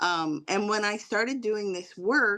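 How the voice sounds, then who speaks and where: Fairly slow and at medium pitch, a woman speaks in a plain, everyday voice. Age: 60s. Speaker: therapist. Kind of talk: testimony.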